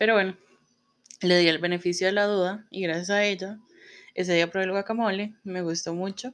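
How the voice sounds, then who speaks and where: A woman speaks at a medium pitch in a monotone, flat way. Her pace is fairly quick, broken by long, frequent pauses. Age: 30s. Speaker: podcast host, publicist. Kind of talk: solo podcast monologue. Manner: casual, filler-heavy.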